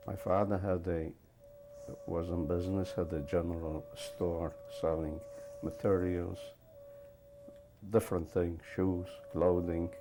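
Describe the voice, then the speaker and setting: A man's very deep, low voice at a fairly slow pace, with fairly even intonation, long, frequent pauses and music in the background. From Poland. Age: 70s. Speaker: Holocaust survivor. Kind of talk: testimony interview. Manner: halting, with fillers.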